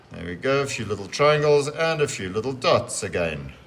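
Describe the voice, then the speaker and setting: A man speaks fairly slowly while noticeable noise fills the background. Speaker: teacher. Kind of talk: tutorial.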